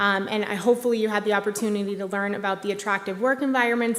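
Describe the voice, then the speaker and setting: A woman speaks with monotone, flat intonation. Audible room echo and noticeable background noise surround her. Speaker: executive director of a tech industry group, award presenter. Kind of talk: award ceremony presentation. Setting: stage at live-broadcast museum event. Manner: hesitant, many fillers.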